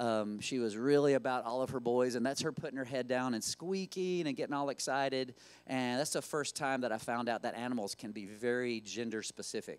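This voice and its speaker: A man with a Southern Appalachian accent, medium in pitch with ordinary pitch variation, at a fairly quick pace, on a very clean recording against a silent background. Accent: Southern Appalachian country. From western North Carolina, Appalachians near Asheville. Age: 50s. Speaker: zookeeper and conservation founder. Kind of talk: lecture. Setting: stage with audience. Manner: casual, with many filler words.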